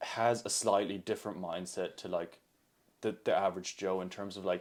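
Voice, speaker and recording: A man with an American accent speaks at a moderate pace in a very deep, low pitch, his intonation monotone and flat, on a very clean recording with a silent background. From Germany and US, mixed. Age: 20s. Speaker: triathlete and evolutionary biology student. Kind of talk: casual podcast interview.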